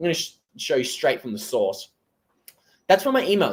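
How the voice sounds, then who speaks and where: A man's high-pitched voice with an Australian accent. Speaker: crypto commentator. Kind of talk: live stream commentary. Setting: live stream. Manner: casual, conversational.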